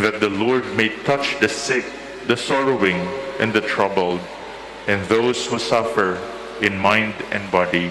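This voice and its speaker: A man with a fairly low pitch speaks fairly slowly at very even loudness, with long, frequent pauses and noticeable background noise. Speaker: deacon or reader of gospel and petitions; deacon or reader of gospel. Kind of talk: gospel reading and intercessions. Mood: solemn, measured. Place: church. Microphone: podium.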